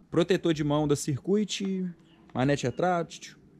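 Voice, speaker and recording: A man talks with ordinary pitch variation at a fairly slow pace. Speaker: motorcycle vlogger. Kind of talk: casual vlog chat. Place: garage. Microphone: phone near.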